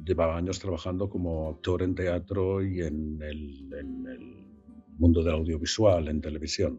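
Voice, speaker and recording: The talking is fairly slow, with music in the background. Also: man. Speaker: voice actor. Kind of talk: interview answer. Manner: hesitant, searching for words.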